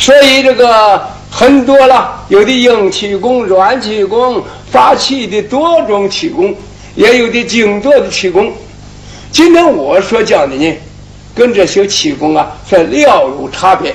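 Very slow and high-pitched, a man speaks with very wide pitch swings. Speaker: qigong teacher. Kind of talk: lecture. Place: studio.

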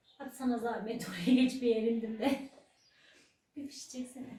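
A woman talks at a fairly slow pace, high in pitch with ordinary pitch variation. Her tone is dark and mellow. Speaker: older sister of the host. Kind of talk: casual chat.

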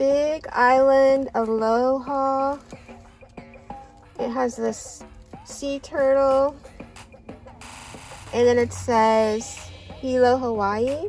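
The speech is very slow, broken by long, frequent pauses. The sound is dry with no echo, and faint music plays in the background. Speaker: shopping vlogger. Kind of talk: casual haul vlog chat. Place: car. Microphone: phone near.

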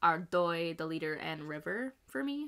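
With a bright, sharp tone and lively intonation, a woman talks over a quiet background. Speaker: reaction channel host. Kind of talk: casual vlog chat. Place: home room.

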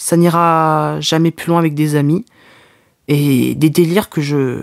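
The background stays quiet. A man is talking. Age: young. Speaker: podcaster. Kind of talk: personal confessional monologue. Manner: halting. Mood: emotional, frustrated, moved. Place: home room. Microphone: studio mic.

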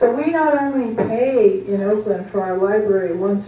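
A woman's voice at a fairly slow pace, with audible room echo and light background noise. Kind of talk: meeting remarks. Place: meeting room. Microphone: camera far.

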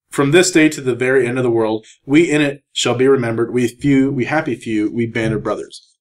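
A man uses an ordinary speaking voice, medium-pitched with ordinary pitch variation, talking at a fairly quick pace with hardly any pauses. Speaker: podcast co-host. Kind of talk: casual chat.

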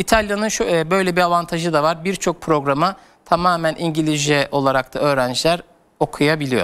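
A man with a fairly high pitch talks at a moderate pace. His loudness stays very even, and his pitch variation is ordinary. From Turkey. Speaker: education consultant; guest. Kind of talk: TV interview. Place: studio.

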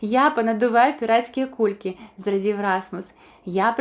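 In a natural voice, someone reads aloud, the pitch varying in an ordinary way.

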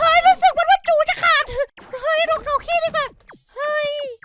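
Putting on a playful character voice, a man pushes his pitch extremely high with very wide pitch swings. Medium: dub. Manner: playful, excitable.

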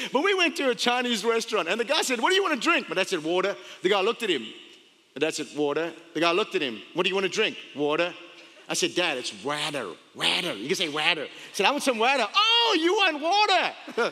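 A man with a high pitch talks in a raised, projected voice at a very fast pace, his pitch swinging very widely. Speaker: pastor. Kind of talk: sermon. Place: church. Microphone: headset.

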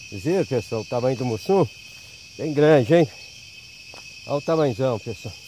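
Speaking at a moderate pace, a man with a fairly high pitch and lively intonation leaves long, frequent pauses, in a dry sound with no echo over light background noise. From rural Ceará, northeastern Brazil. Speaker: fishing vlogger. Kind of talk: casual vlog narration. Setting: outdoors at a fishing spot at dawn. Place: waterside. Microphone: phone near.

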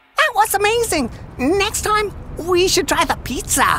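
In a cartoonish character voice, a man speaks at a moderate pace with an extremely high pitch. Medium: puppet.

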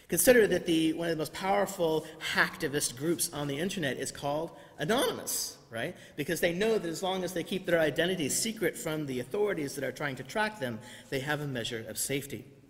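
Very fast, a man rattles along with lively intonation. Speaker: preacher. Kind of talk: sermon. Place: church. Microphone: podium.

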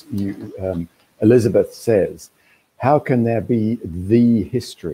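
A man's somewhat breathy, dark and mellow voice at a medium pitch, delivered at a very slow pace. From Australia. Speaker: books editor and festival interviewer; interviewer, event host. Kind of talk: interview. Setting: video call. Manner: halting. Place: home room. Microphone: video call.

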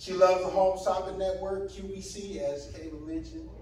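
There is audible room echo as a man speaks at a moderate pace. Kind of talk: eulogy speech. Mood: warm, lightly humorous. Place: hall. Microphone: podium.

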